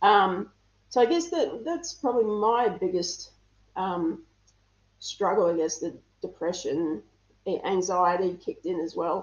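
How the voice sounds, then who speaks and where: Speaking at a fairly slow pace in an Australian accent, a woman leaves long, frequent pauses. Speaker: interview guest. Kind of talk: casual interview.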